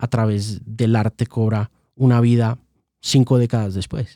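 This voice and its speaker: On a very clean recording with a silent background, a man with a dark, mellow tone talks at a fairly slow pace in a dry, close sound with no echo. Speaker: music journalist and interviewer. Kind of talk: podcast interview.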